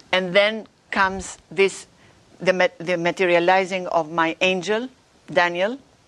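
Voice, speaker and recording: A woman with a non-native accent speaks at medium pitch and a fairly slow pace. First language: not English. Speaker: religious author and visionary. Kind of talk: interview. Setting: live stream show.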